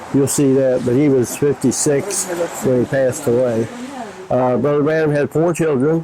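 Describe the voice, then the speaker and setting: A man with an American accent speaks at medium pitch, varying it in an ordinary way. Noticeable background noise is present. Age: 70s. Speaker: church member. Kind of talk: interview.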